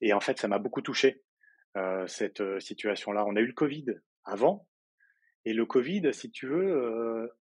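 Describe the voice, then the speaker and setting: This man speaks at a fairly slow pace with a medium pitch. His intonation is lively, broken by long, frequent pauses. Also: quiet background. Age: 30s. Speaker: interview guest on personal growth. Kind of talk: casual interview chat. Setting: podcast interview. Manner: hesitant, many fillers.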